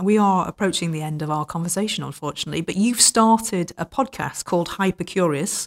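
Woman with a British accent, medium pitch and ordinary pitch variation, at a fairly quick pace, in dry, close sound with no echo. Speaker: podcast host. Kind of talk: interview.

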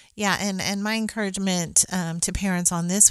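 A woman talks in an unremarkable speaking voice at medium pitch. Her pace is moderate and her intonation fairly even. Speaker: mother of nine discussing parenting. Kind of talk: casual chat.

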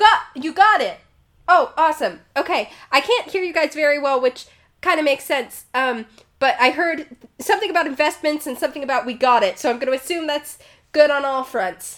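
A put-on character voice speaks at a moderate pace. It sounds raspy, with a high pitch. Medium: actual play.

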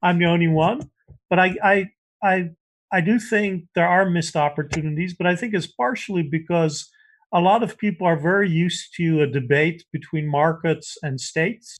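This man talks at a moderate pace in a high pitch, with ordinary pitch variation. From Netherlands. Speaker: political science professor. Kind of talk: interview.

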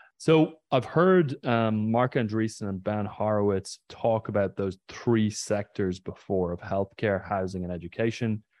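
A man's fairly low voice with an Irish accent, fairly slow and with hardly any pauses. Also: ordinary pitch variation. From Ireland, County Mayo. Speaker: podcast host. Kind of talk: interview. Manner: halting.

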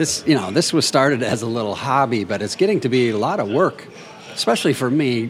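There is noticeable background noise behind the speaker. A man with a medium pitch talks with lively intonation. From US Midwest, southwestern Minnesota. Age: 60s. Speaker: composer and novelist. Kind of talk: casual interview conversation. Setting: over drinks on location.

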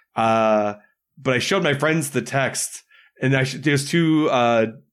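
With an American accent and an unremarkable speaking voice, the speaker shows ordinary pitch variation in a very clean recording with a silent background. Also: man. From Michigan. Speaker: improv comedian. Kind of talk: casual chat.

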